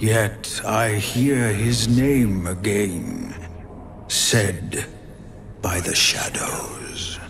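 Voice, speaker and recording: Over clear background noise, a man in a put-on character voice talks very slowly at a medium pitch. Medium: machinima. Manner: slow, halting, archaic phrasing.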